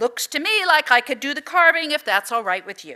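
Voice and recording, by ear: A woman's high, gravelly, put-on character voice at a fairly quick pace, with very wide pitch swings.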